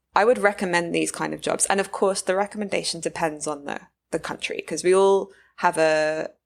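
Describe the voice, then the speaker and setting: A woman speaks at a fairly quick pace with a British accent. The recording is very clean, with a silent background. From UK. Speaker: neuroscience postdoc. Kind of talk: interview conversation.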